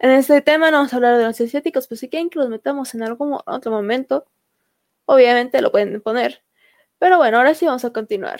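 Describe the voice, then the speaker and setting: A woman talks at a very fast pace in a high pitch with ordinary pitch variation, the sound dry and close with no echo. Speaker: podcast host. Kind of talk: casual chat.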